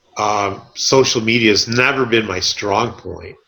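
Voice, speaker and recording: With an American accent and a normal speaking voice, a man of medium pitch talks at a fairly slow pace with fairly even intonation. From Southern California. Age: 60s. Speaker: realtor. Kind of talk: podcast interview.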